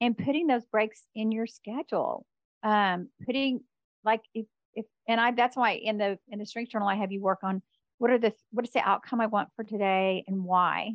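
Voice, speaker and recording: A woman with a fairly high pitch, a moderate pace and ordinary pitch variation. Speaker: career coach. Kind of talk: casual chat. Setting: video call. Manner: peppy.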